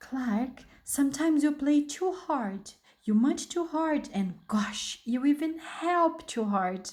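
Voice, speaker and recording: Putting on a character voice, a woman speaks fairly slowly in a high pitch with a calm, gentle tone. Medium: read story.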